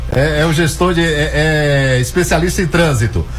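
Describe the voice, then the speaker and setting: Noticeable background noise and audible room echo surround the recording. A man talks at a fairly slow pace. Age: 40s. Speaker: radio news host. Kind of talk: radio news show. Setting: radio studio.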